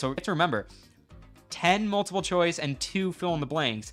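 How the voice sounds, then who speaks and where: A man speaks with music playing in the background. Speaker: trivia quiz host, community admin. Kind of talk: live stream chat hosting a quiz. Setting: live stream. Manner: casual, somewhat halting with repetitions.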